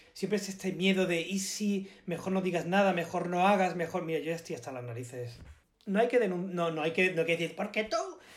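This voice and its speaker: Noticeable background noise accompanies a man talking at a fairly quick pace. His pitch is high, with ordinary pitch variation. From Málaga, Andalusia, Spain. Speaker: actor. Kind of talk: casual chat.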